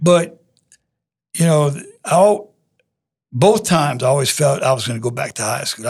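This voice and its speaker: With a Louisiana accent, a man speaks at a fairly high pitch, somewhat breathy, with lively intonation and long, frequent pauses. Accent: Southern US (Louisiana). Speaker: high school football coach. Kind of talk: interview. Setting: studio. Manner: humble.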